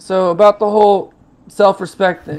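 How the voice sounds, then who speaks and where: Music in the background behind a man's animated, high-pitched voice at a moderate pace. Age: 20s. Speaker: panel guest on talk show. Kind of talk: casual chat.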